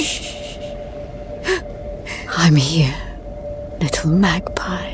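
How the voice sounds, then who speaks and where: Loud background noise runs under a put-on character voice. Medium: machinima. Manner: intimate, controlled.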